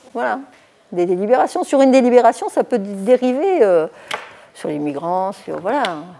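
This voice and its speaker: Over noticeable background noise, a woman speaks at a moderate pace in a fairly high pitch, with very wide pitch swings and big swings in loudness. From Toulon, southern France. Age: 70s. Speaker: mayor. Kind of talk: interview. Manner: hesitant, many fillers.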